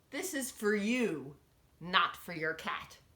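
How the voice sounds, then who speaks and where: A female-sounding, growling put-on character voice at medium pitch, at a fairly slow pace. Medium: read story. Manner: curt, grumbling.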